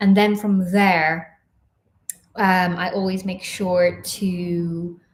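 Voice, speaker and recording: A woman speaks at a very slow pace in a somewhat breathy voice, her medium pitch held in a flat monotone. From Ireland. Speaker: professional dancer and online dance coach. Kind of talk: live-stream Q&A chat. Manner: chatty, filler-heavy.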